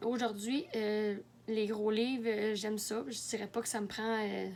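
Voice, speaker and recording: A woman speaks with a Quebec accent at a fairly slow pace. Her pitch is fairly high. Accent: Québécois French. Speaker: book vlogger. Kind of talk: casual video monologue. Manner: halting, many fillers.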